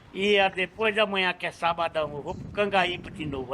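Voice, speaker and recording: The tone is bright and sharp, with ordinary pitch variation at a moderate pace. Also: man. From Brazil, Ceará (Acopiara). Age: 70s. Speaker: street meat vendor. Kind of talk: casual interview.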